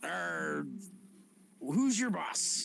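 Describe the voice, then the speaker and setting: A man performs in a put-on character voice. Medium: actual play.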